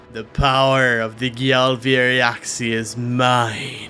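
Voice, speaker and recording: Over clear background noise, a put-on character voice, loud, guttural and menacing in tone, drags along at a very slow pace in a flat monotone. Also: man, medium pitch for a man. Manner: booming, menacing.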